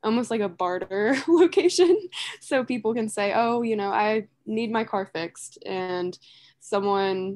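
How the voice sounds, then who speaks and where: A woman talks with fairly level intonation against quiet surroundings. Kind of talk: casual webinar presentation. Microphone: video call.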